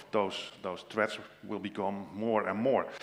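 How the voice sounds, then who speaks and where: A man with a Dutch accent speaks at a fairly slow pace. His pitch is fairly low, and there is audible room echo. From Netherlands. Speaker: tech sales specialist. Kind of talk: conference presentation. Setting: stage with audience. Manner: halting, many fillers.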